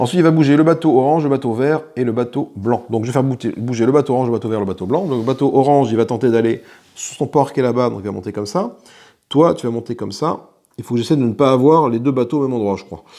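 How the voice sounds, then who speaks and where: A man talks at a very fast pace with a dark, mellow tone, medium pitch and ordinary pitch variation. The background is quiet. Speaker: board game youtuber. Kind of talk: solo board game playthrough commentary. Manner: casual, thinking aloud.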